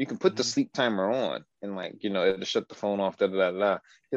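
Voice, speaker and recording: Recorded dry and close with no echo against a quiet background, a man with a normal speaking voice talks at a fairly low pitch with ordinary pitch variation. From Detroit west side, US Midwest. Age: 30s. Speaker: podcast guest, host's cousin. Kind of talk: casual chat.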